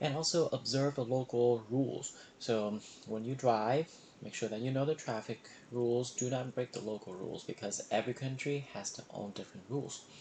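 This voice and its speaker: A man speaks with a Vietnamese accent at a moderate pace, his medium pitch moving with ordinary variation. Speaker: emergency medicine resident physician. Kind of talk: reflective monologue. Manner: hesitant, many fillers.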